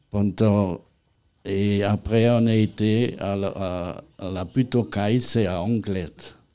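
Very slow and fairly even in intonation, a man speaks in a dark, mellow tone. The recording is very clean, with a silent background. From Lorraine, eastern France. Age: 80s+. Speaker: retired firefighter. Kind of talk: interview. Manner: halting.

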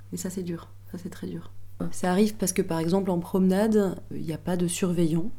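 With audible room echo, a woman talks at a fairly quick pace. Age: 30s. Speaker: prison teacher. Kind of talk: testimony.

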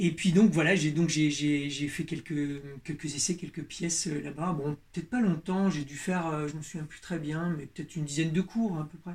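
With hardly any pauses, a man speaks at a moderate pace in a fairly high pitch, his intonation fairly even and his loudness swinging widely. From Berry, central France. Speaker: leather craftsman. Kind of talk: interview. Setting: workshop. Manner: halting, many repetitions.

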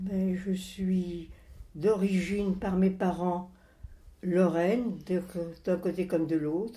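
A woman's very slow, monotone, flat delivery at a medium pitch, somewhat breathy and dark, mellow in tone, with long, frequent pauses and audible room echo. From France, moved around as a child (Alps, Bordeaux area, Rouen). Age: 80s+. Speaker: grandmother telling her life story. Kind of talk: interview, life memories. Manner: halting, with hesitations.

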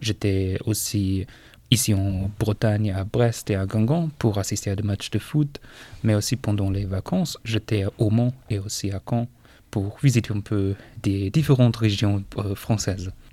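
Recorded very cleanly with a silent background, a man speaks with a somewhat breathy, dark, mellow tone, a fairly low pitch and ordinary pitch variation. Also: fairly slow pace. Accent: German. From northern Germany, Schleswig-Holstein. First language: German (speaking French). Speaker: foreign language assistant at a school. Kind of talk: interview. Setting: school radio studio. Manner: halting, many hesitations.

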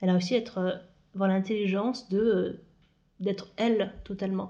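With a dark, mellow tone, a woman speaks at a medium pitch with fairly even intonation. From France, Moselle (Lorraine, north-east). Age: 30s. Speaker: podcast guest sharing personal story. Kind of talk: personal interview conversation.

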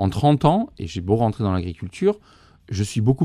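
A man speaks with a fairly low pitch and a dark, mellow tone. Little else is heard, as the background is quiet. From southern France, Bouches-du-Rhône. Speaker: goat and sheep farmer, author. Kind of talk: interview. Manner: halting, many fillers.

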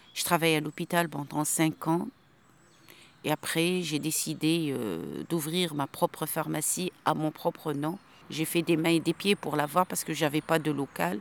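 Woman with a very deep, low pitch and vocal fry, fairly even intonation at a fairly slow pace, dry, close sound with no echo in a very clean recording with a silent background. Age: 50s. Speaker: undocumented migrant, former pharmacist. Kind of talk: interview on a protest march. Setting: outdoors, walking on a road.

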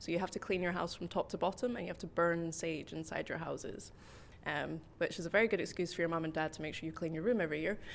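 A woman's fairly low voice with vocal fry, very fast pace and ordinary pitch variation. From Scotland. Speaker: English teacher. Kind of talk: interview.

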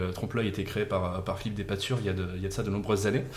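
Amid noticeable background noise and audible room echo, a man speaks with a fairly low pitch. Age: 30s. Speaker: improv actor and event organiser. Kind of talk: casual chat.

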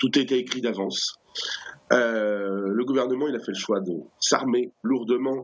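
This man has a medium pitch and ordinary pitch variation. He talks at a fairly slow pace. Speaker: activist spokesperson. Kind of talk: interview. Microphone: poor connection.

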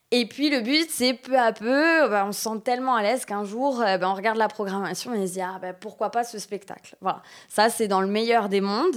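The speech moves at a fairly slow pace with ordinary pitch variation, on a very clean recording with a silent background. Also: woman. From Corsica. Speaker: municipal cultural outreach manager. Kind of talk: interview. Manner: hesitant, many fillers.

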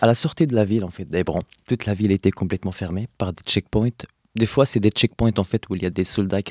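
In an Arabic accent, a man with a fairly low voice speaks at a fairly quick pace with ordinary pitch variation, the sound dry and close with no echo. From Palestine, Hebron (West Bank). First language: Arabic (speaking French). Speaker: activist. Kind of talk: interview. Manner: halting, many hesitations.

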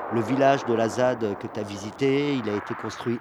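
A man at medium pitch, fairly even intonation and a fairly slow pace. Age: 50s. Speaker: professional sailor and dune protest activist. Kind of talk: interview on location. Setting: outdoors on the beach dunes. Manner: hesitant, with filler sounds.

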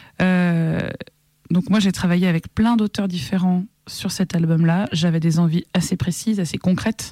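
With a dark, mellow tone and fairly even intonation, a woman speaks in a dry, close sound with no echo. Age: 30s. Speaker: singer-songwriter. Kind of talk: interview conversation.

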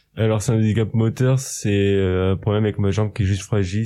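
Against a quiet background, a man with a fairly low pitch and a dark, mellow tone talks at a very fast pace with fairly even intonation. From Normandy, Saint-Lô. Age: 20s. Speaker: cook. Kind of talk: interview.

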